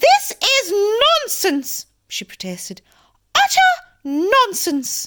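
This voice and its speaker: A put-on, squeaky character voice that sounds female is pitched extremely high and raised and projected, with very wide pitch swings. It moves at a very slow pace with long, frequent pauses. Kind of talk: regal, imperious. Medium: read story.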